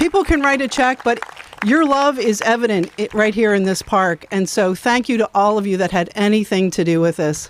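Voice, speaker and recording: Over noticeable background noise, a woman with a fairly high pitch speaks at a moderate pace with lively intonation and very even loudness. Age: 60s. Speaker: foundation representative. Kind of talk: ceremony speech. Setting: outdoors.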